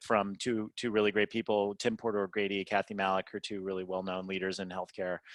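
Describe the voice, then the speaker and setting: Against a quiet background, a man with an American accent speaks in a bright, sharp tone, the sound dry and close with no echo. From California. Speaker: nurse executive. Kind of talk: interview. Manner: fast; animated.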